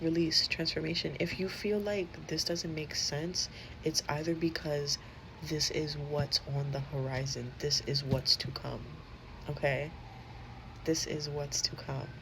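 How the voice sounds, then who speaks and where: The speech comes at a fairly slow pace with noticeable background noise. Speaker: tarot reader. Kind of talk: tarot reading monologue. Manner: casual, swears freely.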